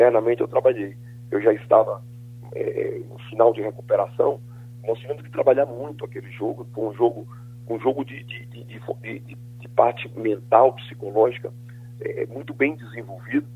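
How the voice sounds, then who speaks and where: Noticeable background noise sits under a man's voice. His loudness swings widely. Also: moderate pace. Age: 60s. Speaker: football coach. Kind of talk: radio phone interview. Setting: phone call.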